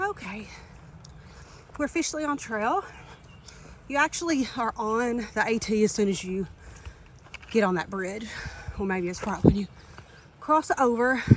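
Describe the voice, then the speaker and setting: The speech has long, frequent pauses. Noticeable background noise sits behind it. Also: moderate pace. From Kentucky.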